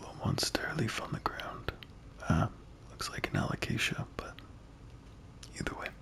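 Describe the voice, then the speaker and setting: A relaxed whisper moves at a moderate pace with long, frequent pauses over noticeable background noise. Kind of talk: ASMR gameplay commentary. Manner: soft-spoken, relaxed.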